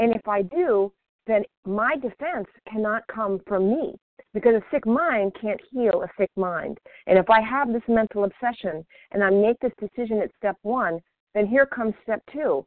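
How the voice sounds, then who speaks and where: With lively intonation and a fairly high pitch, a woman with an ordinary speaking voice talks at a moderate pace. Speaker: recovering overeater sharing at meeting. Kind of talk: recovery meeting share. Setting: phone call.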